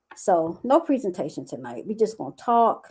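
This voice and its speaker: Her tone is animated, with very wide pitch swings. The woman's medium-pitched voice carries vocal fry. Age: 60s. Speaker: life coach and entrepreneur. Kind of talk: livestream talk to viewers. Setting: live stream on Facebook.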